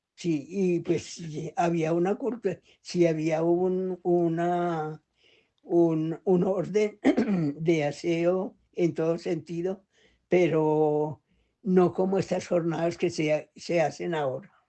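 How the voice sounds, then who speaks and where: At a very slow pace, a woman talks with a fairly low pitch and fairly even intonation. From Colombia, Valle del Cauca (Tuluá). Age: 80s+. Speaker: elderly interviewee. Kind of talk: interview. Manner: halting.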